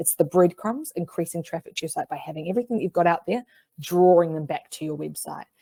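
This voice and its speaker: A dark, mellow voice in a New Zealand accent, with ordinary pitch variation and a dry, close sound without echo. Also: woman. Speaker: marketing webinar presenter. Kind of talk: webinar presentation. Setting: online webinar. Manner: fast.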